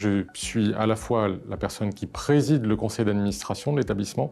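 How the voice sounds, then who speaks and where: At a moderate pace, a man speaks in a dark, mellow tone at a fairly low pitch with ordinary pitch variation. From France, Bresse (Bourg-en-Bresse). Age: 50s. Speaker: public health agency head. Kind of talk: recorded interview statement. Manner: formal.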